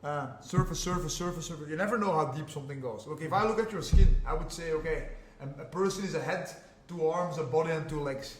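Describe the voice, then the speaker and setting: A man with a Flemish Belgian accent, fairly high pitch, animated tone, ordinary pitch variation and a very fast pace, amid audible room echo and noticeable background noise. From Belgium (Flanders). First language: Flemish (Dutch). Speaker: jiu-jitsu and MMA fighter. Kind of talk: podcast interview. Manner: animated, repetitive.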